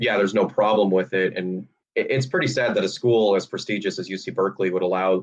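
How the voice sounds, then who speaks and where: A man has a plain, everyday voice with a fairly low pitch. He moves at a fairly quick pace. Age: 20s. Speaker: podcast co-host. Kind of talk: casual discussion of bioethics.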